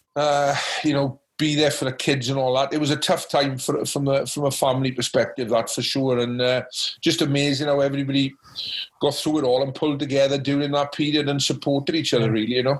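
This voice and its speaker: With a Welsh accent, a man talks at a very fast pace in a fairly high voice, his tone passionate but his intonation flat and monotone. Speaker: rugby coach and former international player. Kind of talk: podcast interview answer.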